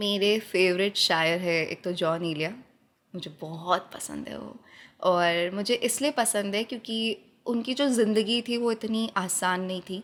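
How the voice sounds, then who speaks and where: A woman with a plain, everyday voice and a medium pitch speaks with ordinary pitch variation and big swings in loudness, on a very clean recording with a silent background. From Jodhpur, Rajasthan. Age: 20s. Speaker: poet, spoken word artist. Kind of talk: interview answer.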